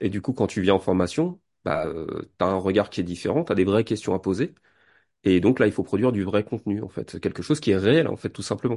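A man's fairly low, dark and mellow voice at a fairly quick pace, with ordinary pitch variation, in a quiet background. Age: 40s. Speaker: hypnotherapist. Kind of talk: casual interview.

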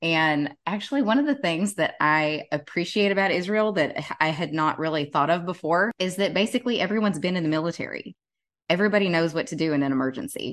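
A woman with a Southern US accent speaks very fast in a fairly low pitch with lively intonation over a quiet background. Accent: Southern US, deeper than John's. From Tennessee, US South. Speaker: podcast co-host and travel blogger. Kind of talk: casual conversational podcast.

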